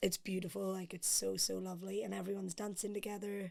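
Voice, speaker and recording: In an Irish accent, a woman speaks fairly quickly at a medium pitch, her intonation monotone and flat. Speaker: podcast guest. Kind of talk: casual chat.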